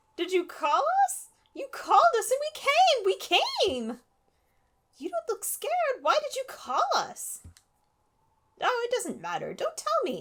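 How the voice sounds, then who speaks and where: A woman uses a squeaky put-on character voice at an extremely high pitch with very wide pitch swings. She talks at a fairly slow pace with long, frequent pauses. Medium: game stream. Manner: breathless, grasping.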